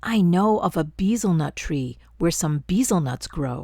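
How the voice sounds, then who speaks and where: A woman speaks in a put-on character voice, pitched fairly low, at a moderate pace. The recording is very clean, with a silent background. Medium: read story. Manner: bossy, sly.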